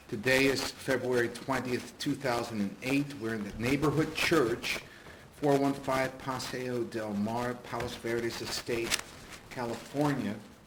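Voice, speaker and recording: Noticeable noise sits behind a man speaking at a medium pitch. He keeps fairly even intonation at a fairly slow pace. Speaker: interviewer. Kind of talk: interview introduction.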